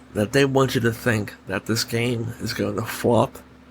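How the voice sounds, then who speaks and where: Soft-spoken and somewhat breathy, a man speaks at a medium pitch and a fairly slow pace. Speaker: gaming podcast host. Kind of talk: solo podcast commentary. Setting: home recording late at night. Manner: soft, under his breath; animated, opinionated.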